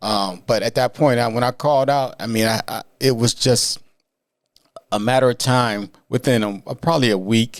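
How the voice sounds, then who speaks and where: The speaker has an American accent. The pace is moderate, with ordinary pitch variation. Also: man. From Canton, Ohio. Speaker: recovery coach and counselor. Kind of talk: podcast interview answer.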